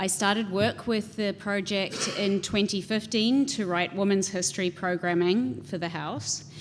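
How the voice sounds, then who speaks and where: At a fairly slow pace, a woman with a New Zealand accent speaks at medium pitch with ordinary pitch variation. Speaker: house museum director. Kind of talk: panel talk presentation.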